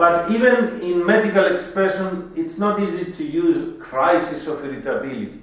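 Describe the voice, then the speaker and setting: A man with a Greek accent and high pitch, lively intonation, moderate pace and hardly any pauses, plus noticeable background noise. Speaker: homeopathy doctor and teacher. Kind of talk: lecture.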